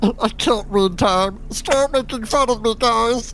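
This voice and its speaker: Over clear background noise, a man does a put-on character voice at an extremely high pitch and a fairly slow pace. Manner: whiny, insecure, easily hurt.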